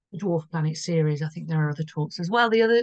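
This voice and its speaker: A somewhat breathy voice with a British accent. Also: woman. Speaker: astrologer. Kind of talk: astrology forecast video. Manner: casual, rambling with false starts.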